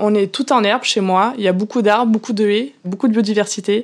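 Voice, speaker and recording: A woman with an Auvergne accent, talking at a very fast pace. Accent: rural Auvergne. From Auvergne, Cantal. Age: young. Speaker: dairy farmer. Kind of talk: interview answer. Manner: enthusiastic, convinced.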